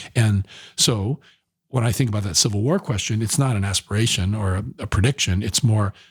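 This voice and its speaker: A man speaks at a fairly low pitch, somewhat breathy, with ordinary pitch variation. The sound is dry and close with no echo. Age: 60s. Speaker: environmental nonprofit director and activist. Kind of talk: podcast interview. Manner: animated; repetitive stammering.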